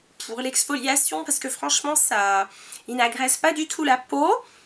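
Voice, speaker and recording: This woman's pitch is high. Her voice makes very wide pitch swings. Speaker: beauty vlogger. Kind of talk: product review monologue. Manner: hesitant, many fillers.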